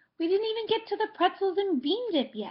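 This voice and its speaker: Putting on a squeaky character voice, a woman speaks at a fairly quick pace with an extremely high pitch. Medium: read story. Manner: jokey, playful.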